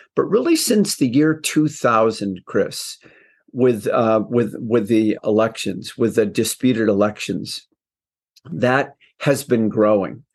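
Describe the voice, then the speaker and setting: A man speaks at a very slow pace with very even loudness against a quiet background. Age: 70s. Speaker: retired professor and author. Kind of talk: casual interview.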